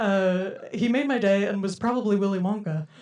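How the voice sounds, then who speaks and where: Over noticeable background noise, a woman speaks at medium pitch with ordinary pitch variation. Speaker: comedian. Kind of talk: stand-up comedy. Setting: live comedy venue.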